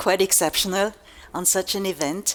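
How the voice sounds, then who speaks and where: A woman with a German accent, medium in pitch, fairly slow, with fairly even intonation. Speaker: magazine publisher. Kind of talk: keynote speech. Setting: stage with audience.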